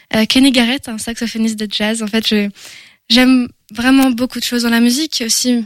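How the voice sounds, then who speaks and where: A woman speaks in a fairly high pitch with monotone, flat intonation. The sound is dry and close with no echo, on a very clean recording with a silent background. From France, Angers. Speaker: singer-songwriter. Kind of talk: radio interview. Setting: studio.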